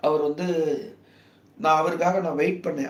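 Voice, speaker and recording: A man speaks softly with fairly even intonation. There is audible room echo. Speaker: political commentator livestreamer. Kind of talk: casual live stream talk. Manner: soft-spoken, lowered voice; halting, many fillers.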